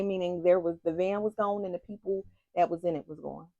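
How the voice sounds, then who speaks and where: The woman's tone is animated, and the sound is dry and close with no echo. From United States. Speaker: YouTube couple vlogger. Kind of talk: casual storytelling chat.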